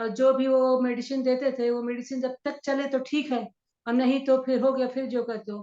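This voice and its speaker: A woman speaks with a high pitch at a moderate pace. Her tone is dark and mellow. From central India, Shahdol, Madhya Pradesh. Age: 60s. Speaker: wellness coach. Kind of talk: interview testimony.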